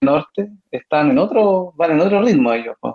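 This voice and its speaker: In an ordinary speaking voice, a man talks at a fairly slow pace with lively intonation, the sound dry and close with no echo. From Punta Arenas, southern Chile. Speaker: psychologist. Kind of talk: radio interview.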